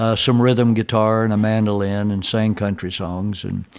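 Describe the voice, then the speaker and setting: A man with a Tennessee accent speaks at a fairly low pitch. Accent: Southern US (Tennessee). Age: 70s. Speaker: country and bluegrass musician. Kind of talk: interview. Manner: halting.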